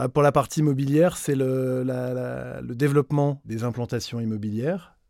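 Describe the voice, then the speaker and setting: At a fairly slow pace, a man with a dark, mellow tone shows ordinary pitch variation in a very clean recording with a silent background. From northern France, Nord-Pas-de-Calais. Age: 40s. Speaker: retail executive. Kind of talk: interview. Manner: halting.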